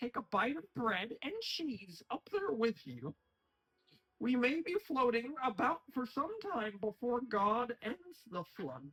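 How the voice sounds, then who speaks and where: A man's put-on character voice, extremely high in pitch, with very wide pitch swings and a fairly slow pace. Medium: audio drama. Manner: solemn, mock-prophetic.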